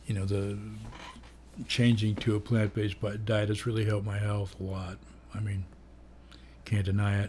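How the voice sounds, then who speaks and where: Speaking at a moderate pace with long, frequent pauses, a man uses a fairly low, somewhat breathy voice, dark and mellow in tone, with fairly even intonation. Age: 70s. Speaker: vlogger. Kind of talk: casual monologue. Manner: rambling with fillers.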